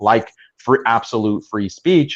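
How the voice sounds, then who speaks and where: At a moderate pace, a man speaks at a medium pitch over a quiet background. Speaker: Islamic commentator / debater. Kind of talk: podcast discussion. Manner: halting.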